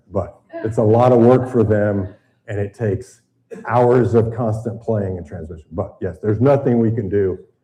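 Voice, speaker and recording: Somewhat breathy and dark, mellow in tone, a man with an American accent speaks at a moderate pace. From US South, Tennessee. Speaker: retired naval officer and boating instructor. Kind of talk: seminar lecture. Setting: seminar room with live audience and live stream.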